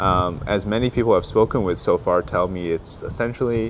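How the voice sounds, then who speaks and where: With noticeable background noise, a man talks fairly quickly at a medium pitch. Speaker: political commentator and vlogger. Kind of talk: travel vlog commentary. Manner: halting, many fillers and restarts.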